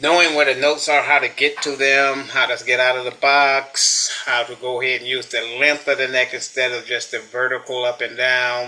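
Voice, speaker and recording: The speech is monotone, with flat intonation, a moderate pace and hardly any pauses. Background noise is noticeable throughout. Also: man, medium pitch for a man. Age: 60s. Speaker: guitar student, retiree. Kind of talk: interview. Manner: halting.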